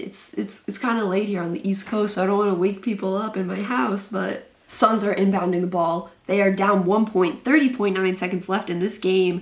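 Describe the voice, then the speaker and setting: In a put-on character voice, a woman speaks quietly and raspily at a medium pitch, with a moderate pace and fairly even intonation. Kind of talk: sports play-by-play commentary. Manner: keeping voice quiet and hushed while commentating.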